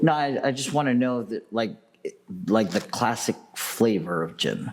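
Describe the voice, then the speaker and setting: With noticeable background noise behind him, a man speaks fairly slowly at medium pitch, his intonation lively. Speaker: podcast co-host, bartender. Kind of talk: casual chat.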